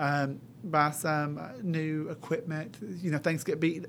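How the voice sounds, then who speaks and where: With an East Tennessee accent, a man speaks at a fairly high pitch. His intonation is fairly even. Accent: East Tennessee Southern American. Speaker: high school culinary teacher. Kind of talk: interview.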